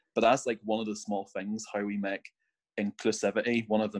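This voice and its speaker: Speaking at a fairly quick pace with a Northern Irish accent, the voice keeps a fairly even intonation. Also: man. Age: 20s. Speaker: scout volunteer. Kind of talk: casual chat. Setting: video call.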